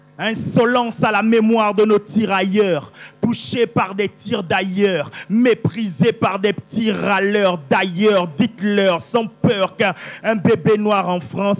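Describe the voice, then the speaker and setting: Music plays in the background as a man speaks very slowly at a high pitch with ordinary pitch variation. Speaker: slam poet. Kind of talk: slam poetry performance. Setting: live stage.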